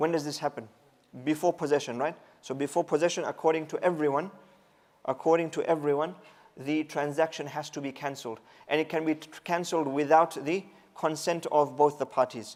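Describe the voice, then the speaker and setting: A man talks at a fairly quick pace in a plain, everyday voice. His pitch is fairly high, and his intonation stays fairly even. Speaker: Islamic teacher. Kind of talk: lecture.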